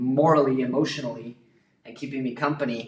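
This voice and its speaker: Speaking at a moderate pace with an American accent, a man uses a fairly high pitch. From United States. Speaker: YouTuber building a studio. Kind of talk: livestream casual chat. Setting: livestream in studio under construction. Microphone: poor audio quality, camera mic.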